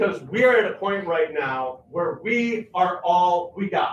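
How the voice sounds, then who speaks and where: A man with a high-pitched voice speaks loudly. His intonation is lively. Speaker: featured artist. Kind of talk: impassioned speech to a live audience. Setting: church basement community gathering with audience. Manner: emphatic.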